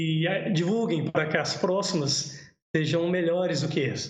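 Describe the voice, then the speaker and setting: A man with a high-pitched voice speaks amid audible room echo. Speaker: cave biologist presenting a livestream. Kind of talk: livestream talk with Q&A. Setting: home livestream. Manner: fast.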